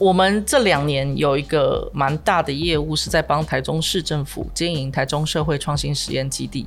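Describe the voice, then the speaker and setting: A woman's very deep, low voice with vocal fry, at a moderate pace with hardly any pauses. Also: ordinary pitch variation. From Taiwan, New Taipei. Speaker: entrepreneur and university lecturer. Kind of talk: interview.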